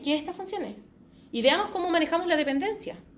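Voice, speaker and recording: A woman's animated tone with audible room echo. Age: 40s. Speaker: quality assurance specialist. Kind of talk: conference talk. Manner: fast.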